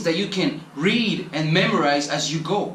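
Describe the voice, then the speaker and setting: In a room with audible echo and noticeable background noise, a man with a Spanish accent talks with ordinary pitch variation. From Colombia. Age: 20s. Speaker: travel vlogger. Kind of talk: motivational monologue.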